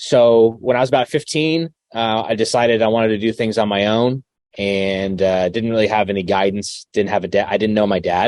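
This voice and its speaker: The sound is dry and close with no echo, and the speech moves at a fairly quick pace with ordinary pitch variation. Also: man, fairly low pitch for a man. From Arizona. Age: 30s. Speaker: pastor and content creator. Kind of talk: casual interview, life story. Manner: hesitant, many fillers.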